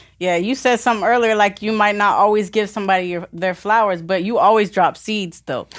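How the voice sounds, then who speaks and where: A woman with an American accent speaks at a fairly quick pace with hardly any pauses. She has a plain, everyday voice and fairly even intonation. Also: medium pitch for a woman. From Florida (Vero Beach). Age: 20s. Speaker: entrepreneur, graphic designer. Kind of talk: casual interview.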